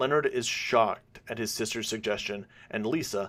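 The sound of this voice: An unforced reading voice is heard. Its intonation is lively.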